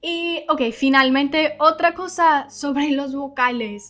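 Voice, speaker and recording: Bright and sharp in tone, a woman with a high-pitched voice speaks in an English accent with ordinary pitch variation. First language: English (speaking Spanish). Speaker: English teacher. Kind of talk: language lesson.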